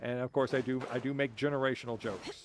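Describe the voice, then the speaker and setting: Over music in the background, someone speaks at a fairly quick pace in a deadpan tone. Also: man. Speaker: gaming streamer. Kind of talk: casual chat. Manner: dry deadpan delivery.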